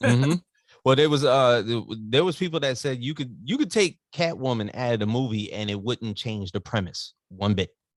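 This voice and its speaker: In a very clean recording with a silent background, a man talks at a medium pitch and a moderate pace with lively intonation. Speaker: pop culture podcaster. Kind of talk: casual movie review chat. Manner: halting, stumbling over words.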